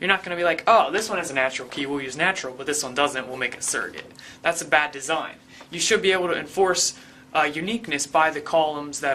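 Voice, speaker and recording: Over noticeable background noise, the words come out at a very fast pace. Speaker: online tutorial instructor. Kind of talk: tutorial. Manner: animated.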